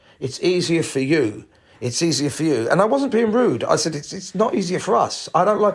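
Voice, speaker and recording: This man's pitch is high and swings very widely. He talks at a fairly quick pace. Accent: British. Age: 60s. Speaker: podcast host, entertainer. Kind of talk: solo podcast rant. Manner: animated.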